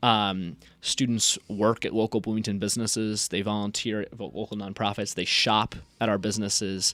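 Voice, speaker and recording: On a very clean recording with a silent background, a man with a fairly low pitch speaks in a flat monotone at a moderate pace. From Indiana. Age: 20s. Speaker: student city council candidate. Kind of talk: radio interview. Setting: radio studio.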